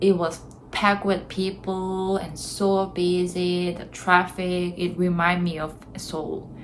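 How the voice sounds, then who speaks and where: A woman with a Korean accent at a very slow pace, with audible room echo and noticeable background noise. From South Korea. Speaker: vlogger. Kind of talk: casual vlog talk to camera.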